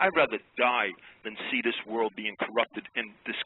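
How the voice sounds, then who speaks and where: A man's intonation is lively. He keeps to a moderate pace. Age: 60s. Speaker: caller. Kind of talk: call-in radio rant. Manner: animated.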